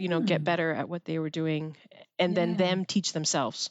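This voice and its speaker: With a French Canadian accent, a woman speaks at a medium pitch. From Quebec, Canada. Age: 40s. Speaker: university administrator, former military officer. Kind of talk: interview.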